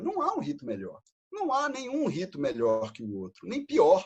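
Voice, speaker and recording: A man speaks with a Brazilian accent at a moderate pace. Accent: non-local Brazilian accent, noticeable. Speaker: freemason lecturer. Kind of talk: lecture.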